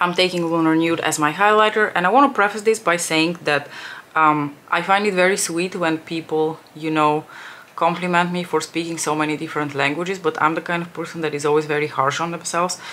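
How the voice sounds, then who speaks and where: The speech comes at a fairly quick pace with fairly even intonation, and background noise is noticeable. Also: woman, fairly low pitch for a woman. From Bulgaria, Armenian family. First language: Bulgarian (Armenian at home as a toddler). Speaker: beauty youtuber. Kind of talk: makeup tutorial chat. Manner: casual, many fillers.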